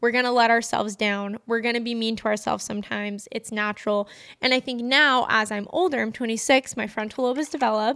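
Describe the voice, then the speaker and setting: This woman's fairly high voice has a bright, sharp tone and fairly even intonation at a very fast pace. The recording is very clean, with a silent background. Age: 20s. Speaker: podcast host. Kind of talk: personal reflective monologue.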